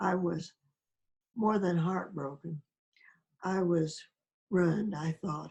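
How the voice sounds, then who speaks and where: At a very slow pace, a woman speaks with a fairly low, somewhat breathy voice and fairly even intonation. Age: 80s+. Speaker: spiritual awakening experiencer. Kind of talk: interview.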